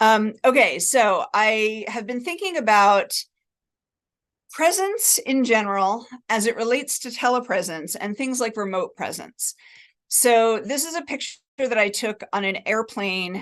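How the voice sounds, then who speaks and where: A woman's plain, everyday voice, fairly high in pitch, with lively intonation, a fairly slow pace and an American accent, against a quiet background. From New Jersey, US. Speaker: cognitive science professor. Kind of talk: academic talk.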